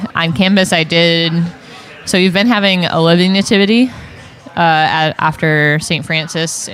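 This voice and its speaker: Crowd noise fills the background as a woman speaks at a moderate pace. Her voice is fairly low in pitch, with ordinary pitch variation. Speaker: religious sister and campus minister. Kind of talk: casual chat. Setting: coffee shop. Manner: hesitant, many fillers.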